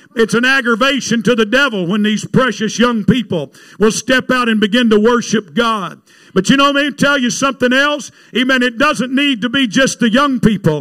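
In a raised, projected voice with a bright, sharp tone, a man speaks at a moderate pace and an extremely high pitch. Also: very clean recording, silent background. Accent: Southern US. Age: 60s. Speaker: evangelist preacher. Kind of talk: sermon. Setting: church with congregation. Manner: animated.

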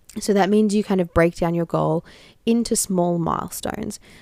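The recording of a woman with an Australian accent is dry and close, with no echo. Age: 20s. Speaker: podcast host, founder of a social change network. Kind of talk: solo advice podcast.

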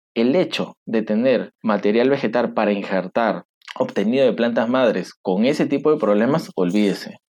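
Sounding dry and close with no echo, a man talks at a moderate pace and medium pitch, with ordinary pitch variation and very even loudness. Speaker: agronomist. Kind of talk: interview. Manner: emphatic.

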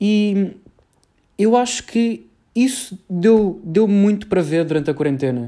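In a Lisbon accent, the voice has a dark, mellow tone, lively intonation and very even loudness, moving at a fairly slow pace with long, frequent pauses. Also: man, high pitch for a man. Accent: European Portuguese, Lisbon. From Portugal, Lisbon area (Cascais). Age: young. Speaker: university student podcaster. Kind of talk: solo podcast monologue. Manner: casual, halting with fillers.

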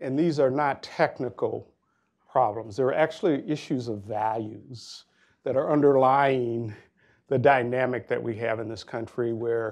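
A man with an American accent and a normal speaking voice, medium pitch, ordinary pitch variation, a fairly slow pace and a quiet background. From Minnesota, Minneapolis. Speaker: nonprofit CEO. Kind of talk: panel discussion.

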